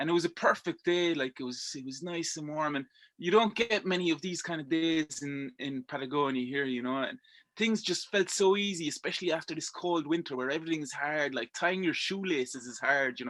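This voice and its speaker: A fairly high-pitched man with a strong Irish accent at a fairly quick pace, with ordinary pitch variation, on a very clean recording with a silent background. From Belgium. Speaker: rock climber. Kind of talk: casual interview chat. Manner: halting, many repetitions and fillers.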